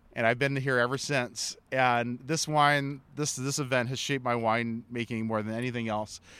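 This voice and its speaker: The voice has a bright, sharp tone and monotone, flat intonation. It moves at a moderate pace with hardly any pauses. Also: man, medium pitch for a man. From Hawaii, Honolulu. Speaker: winemaker. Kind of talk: interview. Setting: live at a wine event.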